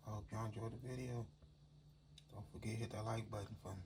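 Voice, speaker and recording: Relaxed and somewhat breathy, a man speaks with a dark, mellow tone at medium pitch and with fairly even intonation. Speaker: home cooking channel host. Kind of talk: cooking tutorial. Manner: casual, relaxed.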